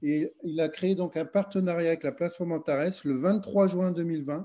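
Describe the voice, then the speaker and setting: Against a quiet background, a man talks fairly quickly in a high voice with a dark, mellow tone and ordinary pitch variation. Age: 50s. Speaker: MLM network leader. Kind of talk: sales pitch.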